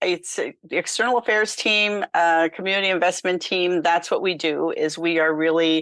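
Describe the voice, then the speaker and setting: Against a quiet background with a dry, close sound and no echo, a woman speaks at a moderate pace in an unremarkable speaking voice, with a fairly low pitch and ordinary pitch variation. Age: 60s. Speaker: nonprofit founder and author. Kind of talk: interview.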